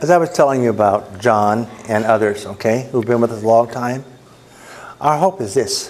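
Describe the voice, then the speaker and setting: With ordinary pitch variation, the man speaks while noticeable background noise carries on. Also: medium pitch for a man, moderate pace. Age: 70s. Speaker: ministry director. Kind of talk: presentation to a club.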